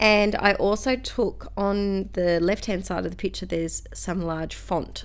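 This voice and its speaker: A woman with a strong Australian accent. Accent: broad Australian. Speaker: scrapbooking crafter, school teacher. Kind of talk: crafting tutorial. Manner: casual, chatty with many fillers.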